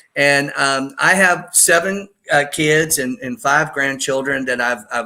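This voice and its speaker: This man's voice is fairly high-pitched and bright and sharp in tone, and he speaks at a fairly slow pace. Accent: American. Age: 60s. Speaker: solar energy broker. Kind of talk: interview. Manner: halting.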